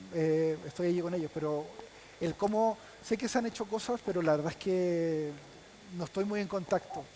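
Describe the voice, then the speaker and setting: Against noticeable background noise, a man with a Chilean accent and a high pitch speaks at a moderate pace with ordinary pitch variation and long, frequent pauses. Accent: Chilean accent, still noticeable. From Chile, Punta Arenas (Patagonia). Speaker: visual effects specialist. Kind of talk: panel talk. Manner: halting, many repetitions.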